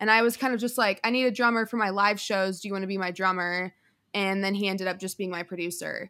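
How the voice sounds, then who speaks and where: The speech goes very fast with fairly even intonation. The recording is very clean, with a silent background. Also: woman, medium pitch for a woman. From Denver, Colorado. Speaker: singer. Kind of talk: casual chat.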